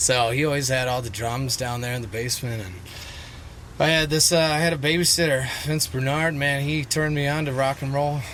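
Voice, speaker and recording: In a room with audible echo and noticeable background noise, a man with an American accent speaks at a fairly high pitch and a fairly quick pace, with ordinary pitch variation. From Wisconsin (Mount Horeb). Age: 20s. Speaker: musician. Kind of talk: casual chat.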